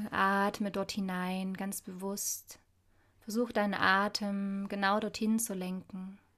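The recording is very clean, with a silent background. A woman speaks very slowly at a medium pitch, her intonation monotone and flat. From Saxony, Dresden. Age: 30s. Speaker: spiritual coach. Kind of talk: guided meditation.

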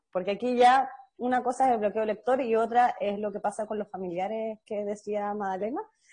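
In a Chilean accent, a woman with a fairly high pitch and a dark, mellow tone speaks at a fairly quick pace with fairly even intonation. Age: 20s. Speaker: podcast host. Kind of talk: casual chat.

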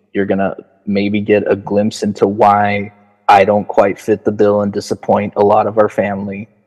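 Over music in the background, a man talks at a moderate pace in a fairly low pitch. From Los Angeles port town, California. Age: 30s. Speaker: photographer. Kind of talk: casual chat.

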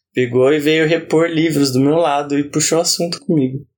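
This man has a normal speaking voice. His pitch is fairly high, with ordinary pitch variation. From Brazil, Campinas area, São Paulo state. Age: 30s. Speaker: podcast host. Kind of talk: casual interview, being interviewed.

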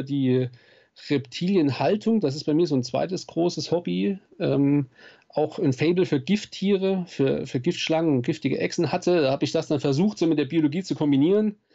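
With a plain, everyday voice, a man talks at a moderate pace, his fairly high pitch showing ordinary variation. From Saarland, southwest Germany. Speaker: nature photographer and speaker. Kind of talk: interview.

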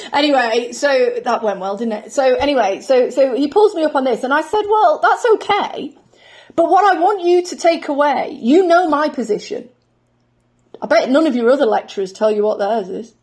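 In a British accent, a woman speaks with a high pitch and very wide pitch swings. Her pace is moderate. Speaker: construction safety researcher. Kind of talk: casual interview chat.

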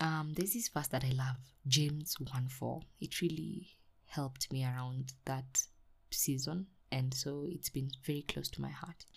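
A somewhat breathy voice speaks at a fairly slow pace with ordinary pitch variation. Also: woman, very deep, low pitch for a woman. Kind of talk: devotional talk. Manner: animated.

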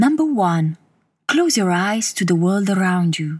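A woman talks at a fairly slow pace in a soothing, gentle tone, somewhat breathy, with lively intonation. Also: very clean recording, silent background. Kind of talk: guided meditation. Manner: slow, soothing and gentle, with calm, even pacing and long pauses.

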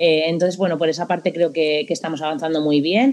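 Talking at a fairly quick pace, a woman with a very deep, low voice keeps a fairly even intonation. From Spain. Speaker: football coach. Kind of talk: interview.

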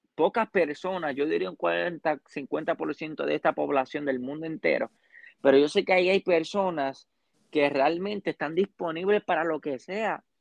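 Pitched fairly high, a man talks at a moderate pace, his pitch varying in an ordinary way. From Puerto Rico. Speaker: church youth member. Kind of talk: casual interview. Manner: halting.

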